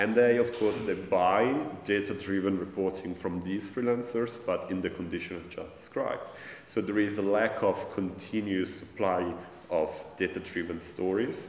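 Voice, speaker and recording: A man speaks with a fairly low pitch and fairly even intonation. Audible room echo and light background noise come through. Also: moderate pace. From Italy. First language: Italian. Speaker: academic and journalist, festival organizer. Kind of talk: panel discussion. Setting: stage with audience. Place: hall.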